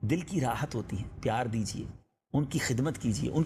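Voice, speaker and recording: Lively intonation in a man's somewhat breathy voice. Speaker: Islamic preacher. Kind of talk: Islamic sermon. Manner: emotional, earnest, addressing audience.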